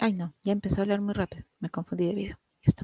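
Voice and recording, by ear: Speaking at a very fast pace, a woman has a medium pitch with little pitch movement, a slightly mellow tone and a slightly husky edge, recorded dry and close with no echo.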